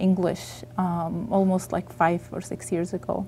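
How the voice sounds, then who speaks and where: A dark, mellow tone in an Egyptian accent, with fairly even intonation and a moderate pace. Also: woman. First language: Arabic. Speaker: author. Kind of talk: interview. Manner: halting.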